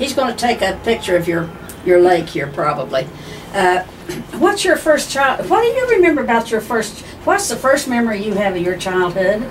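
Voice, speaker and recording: With an Appalachian accent, a woman speaks at a fairly high pitch with very wide pitch swings at a moderate pace. Audible room echo and noticeable background noise surround her voice. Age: 80s. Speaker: family member interviewing her sister. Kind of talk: family reminiscence interview. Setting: living room of sister's condo.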